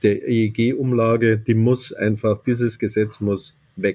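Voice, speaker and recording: A man's somewhat breathy voice, dark and mellow in tone, medium in pitch, fairly slow in pace, with fairly even intonation. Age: 60s. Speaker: business executive. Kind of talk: interview.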